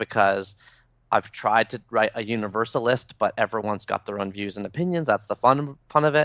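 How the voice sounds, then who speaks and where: A man with a Canadian accent speaks in a normal speaking voice at a medium pitch with ordinary pitch variation and a moderate pace. The sound is dry and close with no echo, against a quiet background. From Toronto, Canada. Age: 30s. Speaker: author. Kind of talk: interview.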